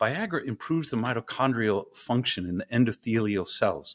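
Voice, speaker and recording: On a very clean recording with a silent background, a man uses an unremarkable speaking voice at medium pitch, with lively intonation and a moderate pace. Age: 50s. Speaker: engineering professor and ice bath company co-founder. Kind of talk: interview conversation.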